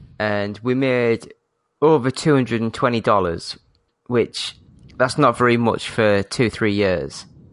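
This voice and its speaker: With an ordinary speaking voice, a man speaks fairly slowly at medium pitch with ordinary pitch variation against a quiet background. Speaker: podcast host. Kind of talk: casual chat. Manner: profane, jokey.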